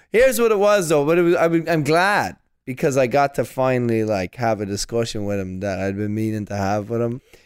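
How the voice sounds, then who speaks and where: A man with an Irish accent talks at a medium pitch and fairly quick pace. His pitch swings very widely, and he hardly pauses. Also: very clean recording, silent background. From Ireland. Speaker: stand-up comedian. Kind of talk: casual chat.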